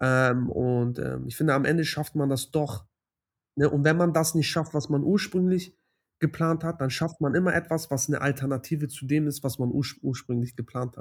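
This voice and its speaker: In a very clean recording with a silent background, a man with a fairly high pitch speaks at a moderate pace, with fairly even intonation and a somewhat breathy sound. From Hamburg, Germany. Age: 20s. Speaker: doctoral student. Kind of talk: interview.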